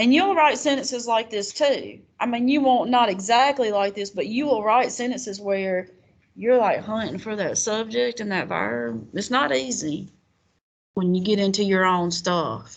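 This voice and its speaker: A woman speaks in a Southern US accent. Her fairly high voice has lively intonation. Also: moderate pace. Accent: Southern twang. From US South. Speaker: college writing teacher. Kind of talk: classroom lecture. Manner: casual, conversational.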